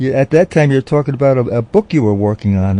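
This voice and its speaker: A man with a dark, mellow tone speaks with ordinary pitch variation in a dry, close sound with no echo. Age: 70s. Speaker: radio host. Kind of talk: radio interview. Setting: studio.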